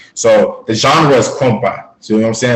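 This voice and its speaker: There is audible room echo around this man's medium-pitched voice. He talks at a fairly quick pace. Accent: American. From US South, South Florida (Fort Pierce), Haitian family. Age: 20s. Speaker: fitness and fashion influencer, model. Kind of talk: interview. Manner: casual, animated.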